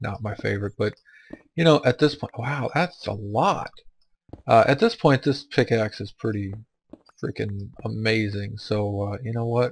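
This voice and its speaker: Somewhat breathy, a man talks at a moderate pace. His pitch is medium, with ordinary variation. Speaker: gaming let's play youtuber. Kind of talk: let's play commentary. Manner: casual, chatty.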